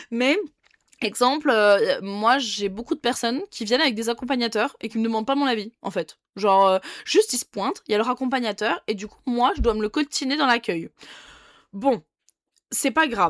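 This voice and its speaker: Heard dry and close with no echo over a silent background, a woman talks at a moderate pace in a fairly high pitch with ordinary pitch variation and long, frequent pauses. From France, Dijon. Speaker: nail technician. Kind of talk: casual vlog monologue. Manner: casual, with many fillers and restarts.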